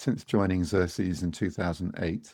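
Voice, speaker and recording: With a British accent, a man speaks at a fairly quick pace in a very deep, low pitch. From Britain. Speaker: podcast co-host. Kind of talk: scripted introduction.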